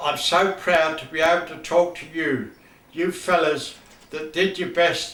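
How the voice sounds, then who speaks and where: A man at a high pitch with fairly even intonation and a fairly slow pace, amid audible room echo. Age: 80s+. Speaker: football fan and former team mascot. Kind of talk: recorded video message to former players. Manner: halting, with repetitions.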